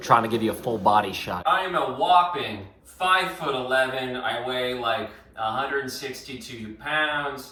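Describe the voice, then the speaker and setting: A man speaks in an animated tone at a medium pitch and a fairly slow pace, with hardly any pauses, lively intonation and big swings in loudness, over noticeable background noise and audible room echo. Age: 20s. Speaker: radio host. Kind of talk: audition video monologue. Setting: radio studio and home.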